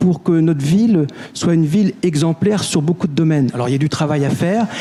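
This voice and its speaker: Over noticeable background noise, a man speaks fairly quickly at a fairly high pitch with ordinary pitch variation. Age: 60s. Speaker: municipal election candidate. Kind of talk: election debate.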